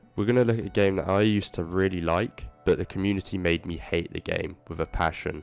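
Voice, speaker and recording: With music playing behind him, a man rattles off his words at a very fast pace, his pitch rising and falling in an ordinary way. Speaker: gaming YouTuber. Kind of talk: video essay commentary. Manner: casual.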